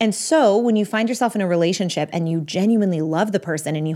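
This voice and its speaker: A woman with an American accent has a normal speaking voice, fairly low in pitch, with lively intonation at a fairly quick pace, in a very clean recording with a silent background. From Texas. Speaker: marriage and family therapist. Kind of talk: advice monologue answering a listener question.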